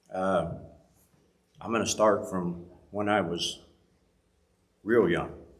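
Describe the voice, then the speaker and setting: Amid audible room echo, a man with an American accent speaks at a very slow pace with a fairly low pitch, fairly even intonation and long, frequent pauses. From rural US farm country. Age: 70s. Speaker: church member giving testimony. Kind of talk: testimony. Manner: halting.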